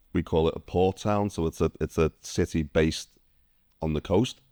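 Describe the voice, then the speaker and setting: A man with a Liverpool accent has a very deep, low pitch and a dark, mellow tone, captured in a very clean recording with a silent background and a dry, close sound with no echo. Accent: Liverpool (Scouse) English. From northern England, Liverpool. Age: 50s. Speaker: ex-military immigrant. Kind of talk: interview.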